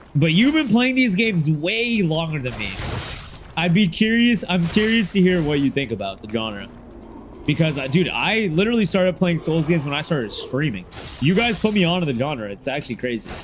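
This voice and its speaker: Loud and high-pitched, a man speaks with very wide pitch swings over noticeable background noise. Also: fairly quick pace. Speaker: gaming streamer. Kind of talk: casual livestream chat.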